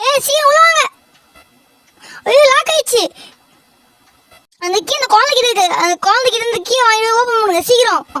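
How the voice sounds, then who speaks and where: Someone is doing a put-on character voice at an extremely high pitch. The pace is moderate. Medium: game stream. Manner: bossy, casual, calls listeners "da".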